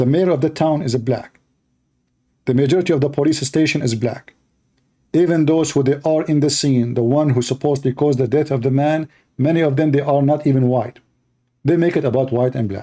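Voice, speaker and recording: Speaking at a fairly quick pace with long, frequent pauses, a man with an Arabic accent has a fairly high pitch, a dark, mellow tone and very even loudness. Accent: clear Arabic. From Middle East. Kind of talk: live stream commentary. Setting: live stream with Skype calls. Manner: animated.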